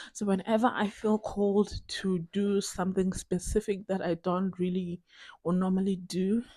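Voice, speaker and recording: Somewhat breathy with a dark, mellow tone, a woman at medium pitch talks at a moderate pace in a monotone, flat intonation, the sound dry and close with no echo. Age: 20s. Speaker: vlogger. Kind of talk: casual video diary chat. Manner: rambling with many fillers.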